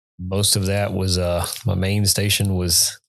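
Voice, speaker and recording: The speaker is a man with a Texan accent. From Texas, Austin. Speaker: Marine veteran, irrigation business owner. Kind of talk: casual interview chat.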